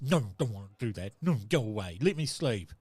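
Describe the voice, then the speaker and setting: A man's put-on character voice at a medium pitch, delivered at a moderate pace. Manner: whiny, sleepy, grumpy.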